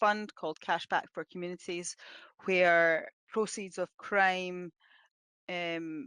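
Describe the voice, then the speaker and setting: A woman with a Scottish accent at a fairly slow pace, medium pitch and ordinary pitch variation, dry close sound with no echo over a quiet background. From Scotland. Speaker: police officer. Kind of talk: webinar presentation. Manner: hesitant, many fillers.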